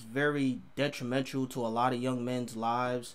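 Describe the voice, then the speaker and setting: His pitch is medium, his intonation monotone and flat. The man speaks at a fairly slow pace. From New York City, Harlem. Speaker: YouTube reaction video creator. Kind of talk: reaction video commentary. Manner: casual, conversational.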